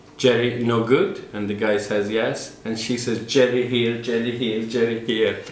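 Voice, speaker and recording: A man speaks at a medium pitch and a fairly slow pace, with hardly any pauses and fairly even intonation. Audible room echo and noticeable background noise surround him. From Turkey. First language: Turkish. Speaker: interviewee, Turkish immigrant. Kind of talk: documentary interview.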